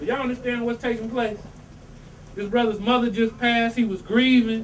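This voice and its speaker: A man speaks with a high pitch. Audible room echo and noticeable background noise fill the recording. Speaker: religious teacher. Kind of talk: religious talk to congregation. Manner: animated.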